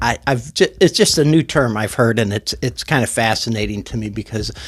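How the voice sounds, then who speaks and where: Recorded dry and close with no echo, a man with vocal fry speaks in a medium pitch with ordinary pitch variation. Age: 60s. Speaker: YouTuber talking about music and mental health. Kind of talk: personal testimony monologue. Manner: halting, many fillers and restarts.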